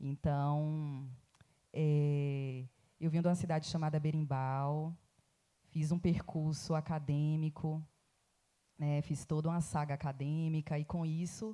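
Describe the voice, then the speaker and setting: A woman's very deep, low voice in a Bahian accent, dark and mellow in tone, very even in loudness, at a very slow pace with long, frequent pauses. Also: very clean recording, silent background. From Bahia, Recôncavo. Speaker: academic, writer. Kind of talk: festival panel talk.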